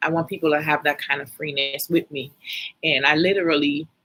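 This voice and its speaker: A soft-spoken voice in a Virgin Islands accent with monotone, flat intonation. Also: woman. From US Virgin Islands, St Thomas. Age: 40s. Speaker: life and finance coach. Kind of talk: casual live stream talk. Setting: live video stream.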